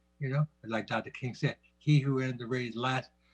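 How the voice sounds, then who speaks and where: With music in the background, a man speaks at a medium pitch in a dry, close sound with no echo. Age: 70s. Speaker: community member, veteran. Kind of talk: community forum remarks. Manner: halting.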